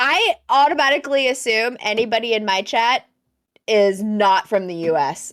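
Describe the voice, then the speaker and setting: This woman has a plain, everyday voice, pitched fairly high, with lively intonation. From United States. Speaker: podcast co-host and streamer. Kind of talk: casual chat.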